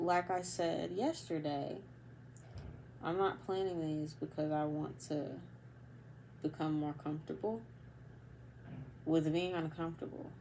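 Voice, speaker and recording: With long, frequent pauses and a fairly slow pace, a woman speaks in a very deep, low pitch, her tone dark and mellow and her intonation fairly even, with audible room echo around her. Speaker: vlogger. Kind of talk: casual monologue. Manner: halting, pauses often.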